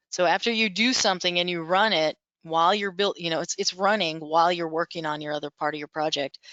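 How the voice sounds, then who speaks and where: Here is a woman with an ordinary speaking voice at a fairly low pitch. She talks at a fairly quick pace with fairly even intonation. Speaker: software instructor. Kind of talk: tutorial. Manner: casual, self-correcting.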